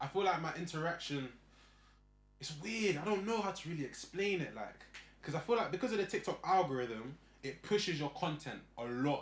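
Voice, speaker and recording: With a London accent, a man speaks at a moderate pace in a fairly high pitch. His intonation is lively, and he leaves long, frequent pauses. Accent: London, multicultural London English. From Northwest London. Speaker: content creator. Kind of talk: casual chat.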